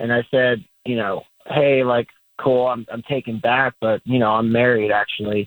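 A man speaks at a moderate pace in a normal speaking voice, his pitch medium. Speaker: caller. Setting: phone call.

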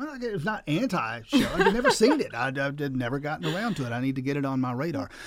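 Over noticeable background noise, a man talks very fast in a fairly high pitch with very wide pitch swings. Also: hardly any pauses. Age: 60s. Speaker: radio host. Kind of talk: radio interview.

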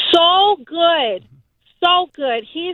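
A woman speaks at an extremely high pitch with an American accent. Her pace is very slow. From Haitian American. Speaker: mother of a child with leukemia. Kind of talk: phone interview. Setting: phone call.

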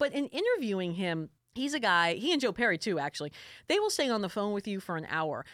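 Talking at a very fast pace, a woman with a slight New York accent speaks at medium pitch with very wide pitch swings. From South Florida, New York family. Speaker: music journalist and podcast co-host. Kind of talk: casual chat.

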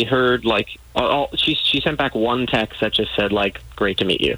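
A man with a plain, everyday voice, ordinary pitch variation and a moderate pace. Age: 20s. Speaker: caller. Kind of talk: casual chat.

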